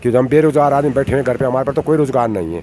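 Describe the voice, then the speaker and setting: With ordinary pitch variation, a man uses an unremarkable speaking voice. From rural Uttarakhand, India. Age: 60s. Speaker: villager. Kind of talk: interview answers.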